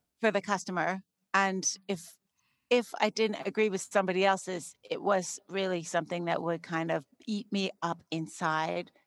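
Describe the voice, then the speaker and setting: A woman talks at a moderate pace and medium pitch in an unremarkable speaking voice with fairly even intonation. The recording is very clean, with a silent background and a dry, close sound with no echo. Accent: Canadian. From Canada, Saskatchewan. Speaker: entrepreneur. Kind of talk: interview.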